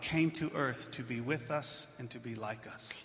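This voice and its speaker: Noticeable background noise and audible room echo fill this recording. A man talks at a fairly slow pace with ordinary pitch variation. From not Switzerland. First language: English (speaking German). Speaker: pastor. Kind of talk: sermon.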